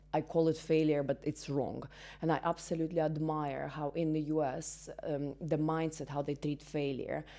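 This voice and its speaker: In a Russian accent, a woman with a very deep, low voice and a dark, mellow tone speaks at a moderate pace with monotone, flat intonation. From Belarus. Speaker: entrepreneur and business mentor. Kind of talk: interview. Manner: halting, many fillers.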